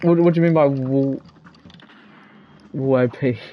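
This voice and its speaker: Music plays in the background as a man with a fairly high pitch speaks at a moderate pace with fairly even intonation. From England. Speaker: gaming streamer. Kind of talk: live gaming stream chat. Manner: casual, hesitant with fillers.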